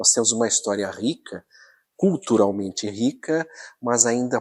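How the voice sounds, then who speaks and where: An unremarkable speaking voice from a man, medium in pitch, with ordinary pitch variation at a fairly slow pace. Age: 60s. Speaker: local historian. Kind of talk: documentary interview.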